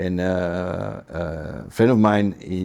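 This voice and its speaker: A man speaks with a Dutch accent in a very deep, low pitch. His tone is dark and mellow, with fairly even intonation. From Netherlands. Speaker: business council manager. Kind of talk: interview. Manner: halting.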